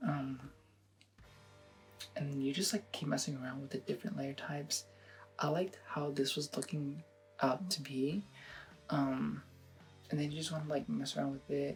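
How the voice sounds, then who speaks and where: A man speaks at a moderate pace in a fairly high pitch with ordinary pitch variation, leaving long, frequent pauses while music plays in the background. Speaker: photo editing tutorial creator. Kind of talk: casual tutorial talk to camera. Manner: hesitant, rambling.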